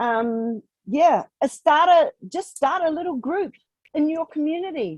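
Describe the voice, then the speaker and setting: A woman talks at a fairly slow pace with a high pitch and lively intonation. The sound is dry and close, with no echo. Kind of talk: webinar Q&A answer. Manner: casual, with fillers.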